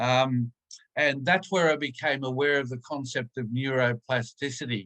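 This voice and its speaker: A man speaks at a moderate pace with a medium pitch and fairly even intonation. His bright, sharp tone sounds dry and close, with no echo. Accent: Australian. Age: 70s. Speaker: stroke survivor. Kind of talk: personal testimony in webinar. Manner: hesitant.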